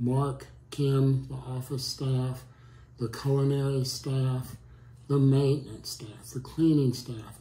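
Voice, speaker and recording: A man speaks at a very slow pace in a somewhat breathy voice with a dark, mellow tone, and audible room echo. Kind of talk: testimonial. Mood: warm, appreciative. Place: home room.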